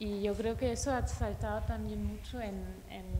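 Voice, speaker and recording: A woman speaks with a non-native accent. There is noticeable background noise. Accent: foreign, non-native Spanish. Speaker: curator. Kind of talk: post-screening film talk.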